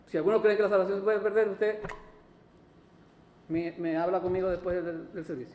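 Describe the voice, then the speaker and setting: Someone talks at a fairly quick pace with fairly even intonation and long, frequent pauses, with audible room echo. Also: man, high pitch for a man. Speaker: pastor. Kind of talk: sermon. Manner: fast.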